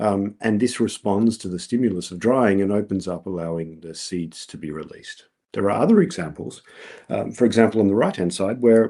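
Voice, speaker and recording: A man with an Australian accent has a fairly low pitch and a dark, mellow tone. He keeps a moderate pace with ordinary pitch variation against a quiet background. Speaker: researcher presenting at a colloquium. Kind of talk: conference talk. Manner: many filler words (um, uh).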